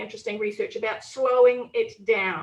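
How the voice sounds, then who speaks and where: A woman with a New Zealand accent speaks at a high pitch with ordinary pitch variation. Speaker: politician. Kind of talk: panel discussion. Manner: fast.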